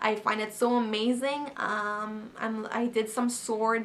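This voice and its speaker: With a French accent, a woman speaks at a fairly high pitch and with fairly even intonation while noticeable background noise runs underneath. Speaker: actress and model. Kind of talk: casual Q&A vlog. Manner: hesitant, many fillers.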